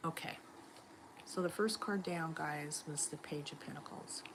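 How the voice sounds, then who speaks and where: Her pitch is very deep and low for a woman, and she has an American accent. The woman talks at a very slow pace. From Los Angeles, US. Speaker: tarot reader. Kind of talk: live stream tarot reading.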